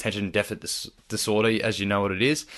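A man with an Australian accent, talking at a fairly quick pace against a quiet background. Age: 20s. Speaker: firefighter and lifeguard. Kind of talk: casual interview.

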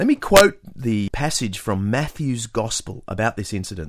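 A man speaks with an Australian accent, his pitch swinging very widely. The recording is very clean and the background silent. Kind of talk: scripted narration.

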